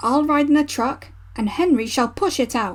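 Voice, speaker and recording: A woman's put-on character voice, high-pitched and growling, with lively intonation at a moderate pace over light background noise. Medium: read story. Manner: brisk, matter-of-fact.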